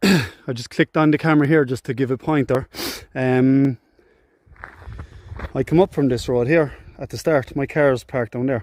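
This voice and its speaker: A man speaks in a Cork accent with a fairly high pitch and fairly even intonation. He goes at a moderate pace, and the sound is dry and close with no echo. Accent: Cork accent, lilting. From Ireland, Cork. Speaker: hiking vlogger. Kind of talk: outdoor vlog commentary. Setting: outdoors, walking on a hill. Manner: casual, chatty.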